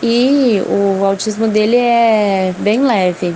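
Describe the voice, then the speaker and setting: A woman with a medium pitch keeps her intonation fairly even while noticeable noise sounds behind her. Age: 30s. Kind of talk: testimony.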